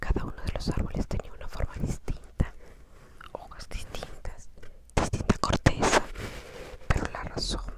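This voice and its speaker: A fairly slow whisper comes through noticeable background noise. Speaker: audiobook reader. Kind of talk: ASMR whispered book reading. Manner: whispered.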